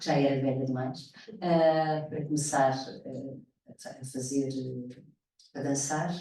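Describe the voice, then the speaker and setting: A woman's very deep, low pitch at a very slow pace, fairly even intonation and audible room echo. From Mozambique. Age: 60s. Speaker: actress and theatre director. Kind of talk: panel conversation. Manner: halting.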